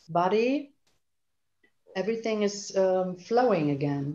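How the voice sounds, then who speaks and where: A woman speaks at a fairly slow pace in a German accent. Her medium-pitched voice has a dark, mellow tone and ordinary pitch variation. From Germany. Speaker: naturopath and healer. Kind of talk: panel discussion. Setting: video call. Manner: halting, searching for words.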